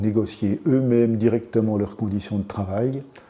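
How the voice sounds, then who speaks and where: A man talks at a moderate pace in a fairly low voice. Noticeable noise sits in the background. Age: 70s. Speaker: trade union activist. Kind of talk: interview. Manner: halting, many repetitions and hesitations.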